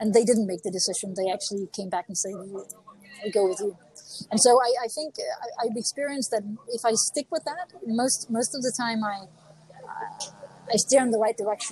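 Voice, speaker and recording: With a Danish accent, a woman speaks at a fairly high pitch with ordinary pitch variation. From Denmark. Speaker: author and executive coach. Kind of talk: interview. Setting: remote call from a cafe.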